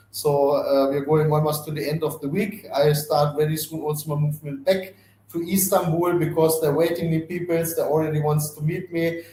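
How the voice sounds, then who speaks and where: Over noticeable background noise, speech with a non-native accent runs on with hardly any pauses, its intonation monotone and flat. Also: man, fairly high pitch for a man. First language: not English. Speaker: company CEO and founder. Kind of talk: live webinar Q&A. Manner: fast.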